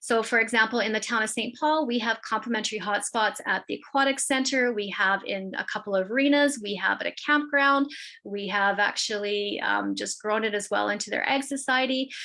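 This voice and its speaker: A woman with a Canadian accent speaks at a fairly quick pace with hardly any pauses, a fairly high pitch, ordinary pitch variation and a bright, sharp tone. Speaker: internet provider representative. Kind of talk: business presentation. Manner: fast.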